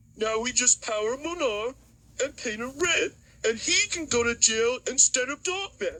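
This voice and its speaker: This cartoonish character voice sits at a high pitch. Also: moderate pace. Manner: scheming, gloating.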